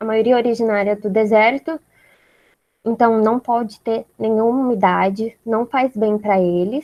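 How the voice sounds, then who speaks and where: Fairly high-pitched with fairly even intonation, a woman's dark, mellow voice moves at a fairly slow pace in a dry, close sound with no echo. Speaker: student group leader teaching a class. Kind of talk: online lecture. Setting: video call.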